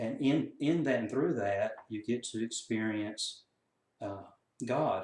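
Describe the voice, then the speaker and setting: A man with a Southern US accent, talking at a very slow pace. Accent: Southern US country. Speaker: counselor and coach. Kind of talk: casual talk to camera.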